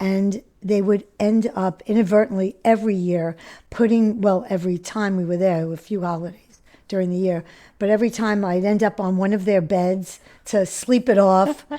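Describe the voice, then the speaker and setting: A woman with an American accent speaks at a medium pitch in a dark, mellow tone with fairly even intonation. Her moderate pace comes through on a very clean recording with a silent background. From New York City. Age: 70s. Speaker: recovering addict sharing her story. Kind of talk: interview testimony. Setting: podcast interview. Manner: halting, many fillers.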